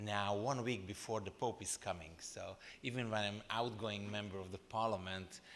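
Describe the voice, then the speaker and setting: A man with a Hungarian accent, fairly low in pitch, at a moderate pace. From Transylvania, Romania (Hungarian minority). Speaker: former member of European Parliament, panel speaker. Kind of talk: conference speech. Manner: halting, with fillers.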